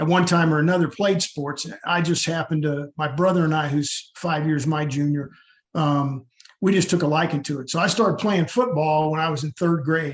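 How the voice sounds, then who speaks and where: Using a plain, everyday voice, a man with an American accent speaks at a fairly quick pace, fairly high in pitch, with ordinary pitch variation. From US South. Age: 60s. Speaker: army veteran and youth football coach. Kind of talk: interview.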